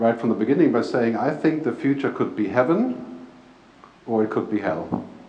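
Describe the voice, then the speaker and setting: The intonation is lively. Noticeable background noise and audible room echo run through the clip. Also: man. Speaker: futurist speaker and author. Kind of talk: keynote talk. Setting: stage with audience and PA system, live interpreter.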